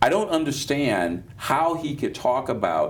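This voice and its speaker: A man with an American accent speaks at a fairly high pitch, his voice swinging very widely up and down. There is vocal fry, and the room echo is audible. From Chicago, West Side. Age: 60s. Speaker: pastor and political commentator. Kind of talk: panel discussion. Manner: halting, many restarts.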